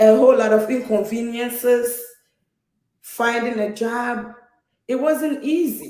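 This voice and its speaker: With a Ghanaian accent and a dark, mellow tone, a woman speaks at a fairly slow pace in a high pitch with fairly even intonation and long, frequent pauses, while room echo is audible. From Ghana, Takoradi, western Ghana. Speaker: nurse, immigrant guest. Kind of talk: personal testimony in conversation.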